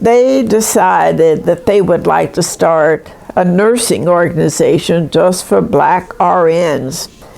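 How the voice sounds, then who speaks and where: Noticeable background noise sits under speech delivered at a fairly slow pace. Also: woman. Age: 80s+. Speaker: retired nurse. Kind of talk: interview.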